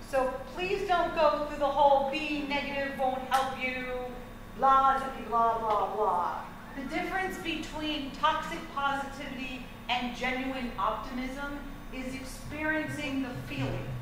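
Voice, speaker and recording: A woman speaks at a high pitch. Noticeable background noise and audible room echo fill the recording. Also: ordinary pitch variation. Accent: American. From New Jersey. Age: 40s. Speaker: counselor giving a talk to parents. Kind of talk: lecture. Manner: animated.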